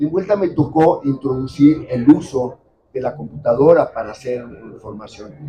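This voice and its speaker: A man's somewhat breathy, fairly high voice with a dark, mellow tone, a moderate pace, big swings in loudness and ordinary pitch variation. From Mexico. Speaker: editor and writer. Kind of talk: book presentation talk.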